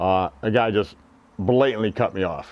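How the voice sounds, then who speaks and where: Pitched fairly low, a man talks at a moderate pace. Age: 60s. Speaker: bicycle commuter. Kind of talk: interview. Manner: halting.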